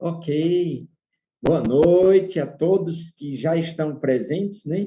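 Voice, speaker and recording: A man speaks at a very slow pace with ordinary pitch variation. His tone is dark, mellow and somewhat breathy. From Northeast Brazil, João Pessoa, Paraíba. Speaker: pastor. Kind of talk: online lecture.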